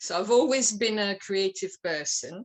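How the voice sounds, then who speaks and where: A woman speaks with a French accent. Her pace is fairly slow and her pitch variation ordinary. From France. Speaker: playwright. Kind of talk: interview. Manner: halting.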